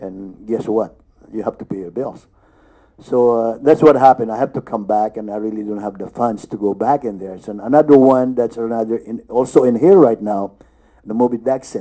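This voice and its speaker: A man's medium-pitched, dark, mellow voice at a fairly quick pace, with ordinary pitch variation. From Philippines. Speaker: actor. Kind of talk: panel discussion. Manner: halting.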